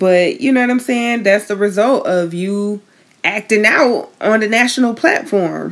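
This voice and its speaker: Speaking at a fairly slow pace, a woman with a fairly high pitch uses ordinary pitch variation. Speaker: podcast co-host. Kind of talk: casual banter, podcast recap. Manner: upbeat, animated.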